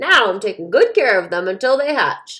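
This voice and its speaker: In a put-on character voice, a woman speaks at a high pitch and a moderate pace, her voice raised and projected. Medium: read story.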